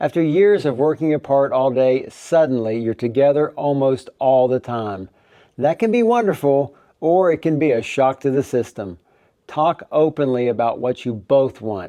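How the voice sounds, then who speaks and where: A man's fairly high-pitched voice, dark and mellow in tone, with lively intonation at a moderate pace, dry and close with no echo over a quiet background. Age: 60s. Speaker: retirement travel vlogger. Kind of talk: scripted narration.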